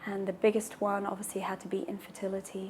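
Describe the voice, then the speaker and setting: A woman talks in a somewhat breathy voice. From Brazil and England, mixed. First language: Portuguese. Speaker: patient sharing her fertility story. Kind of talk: personal testimony. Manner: pauses for breath between sentences.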